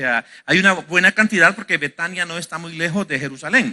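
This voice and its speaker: A man with a high pitch and a bright, sharp tone speaks over a quiet background. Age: 50s. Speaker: pastor. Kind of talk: sermon. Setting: church. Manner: halting.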